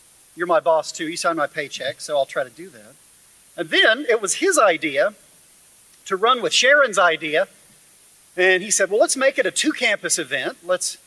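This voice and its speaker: A man with an American accent, lively intonation and a moderate pace. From western Oklahoma. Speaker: history instructor. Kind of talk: lecture. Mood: light, humorous, warm. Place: hall. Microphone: podium.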